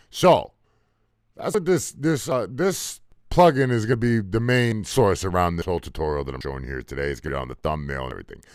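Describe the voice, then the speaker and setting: A man with a fairly low voice speaks at a very fast pace, his pitch swinging very widely, on a very clean recording with a silent background. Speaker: music producer. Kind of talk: tutorial. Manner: casual.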